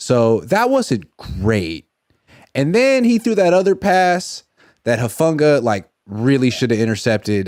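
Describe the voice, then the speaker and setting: Fairly slow and animated, the voice swings very widely in pitch on a very clean recording with a silent background. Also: man. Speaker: sports journalist. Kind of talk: casual sports talk.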